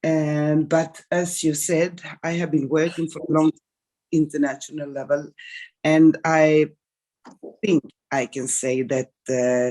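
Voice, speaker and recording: A woman with a dark, mellow tone and a very deep, low pitch speaks very slowly and with fairly even intonation, leaving long, frequent pauses. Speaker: politician and Roma rights advocate. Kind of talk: conference speech. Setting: remote video link from home.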